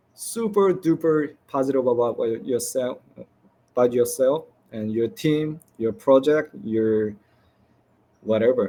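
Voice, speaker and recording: Talking at a fairly slow pace, a man moves through very wide pitch swings. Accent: non-native. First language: not English. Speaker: game developer. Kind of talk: conference presentation Q&A. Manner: halting.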